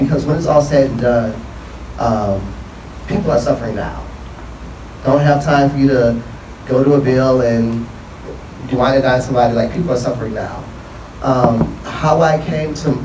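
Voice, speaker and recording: In an American accent, a man speaks at medium pitch and a moderate pace with ordinary pitch variation and long, frequent pauses, against audible room echo and light background noise. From Detroit, Michigan. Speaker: investment firm CEO; panelist. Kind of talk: panel discussion. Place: hall. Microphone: handheld.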